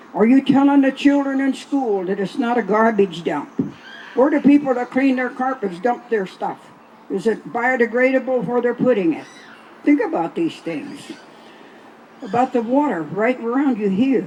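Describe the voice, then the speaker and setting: A woman's high-pitched voice, lively in intonation, comes at a moderate pace through noticeable background noise. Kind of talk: speech to festival audience about water.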